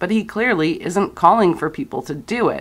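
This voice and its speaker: On a very clean recording with a silent background, a woman with a plain, everyday voice speaks at a moderate pace with lively intonation. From Canada. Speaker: political commentator. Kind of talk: scripted commentary.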